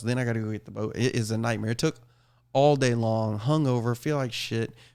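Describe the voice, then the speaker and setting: A man talks with an American accent. His pitch sits in the medium range. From Texas (Austin area). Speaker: podcast host. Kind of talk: casual chat. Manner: animated.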